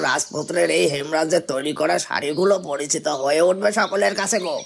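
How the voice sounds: Over clear background noise, a man puts on a cartoonish character voice at a fairly high pitch and a moderate pace.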